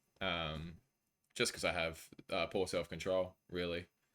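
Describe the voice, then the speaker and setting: The man's voice has a bright, sharp tone and an Australian accent. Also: very clean recording, silent background. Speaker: video game streamer. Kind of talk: casual chat. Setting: live stream.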